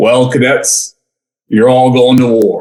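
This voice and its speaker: A man's gravelly, put-on character voice at a medium pitch. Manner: stern, blunt.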